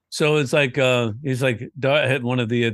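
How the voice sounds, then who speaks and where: At a fairly slow pace, a man with an unremarkable speaking voice talks at a medium pitch with fairly even intonation, in a dry, close sound with no echo and a quiet background. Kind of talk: casual chat.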